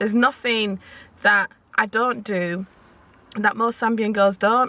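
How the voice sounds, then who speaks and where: A woman with a Yorkshire accent, fairly high in pitch, bright and sharp in tone, with fairly even intonation. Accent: Northern English (Yorkshire). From Leeds, northern England. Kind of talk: casual talk to camera.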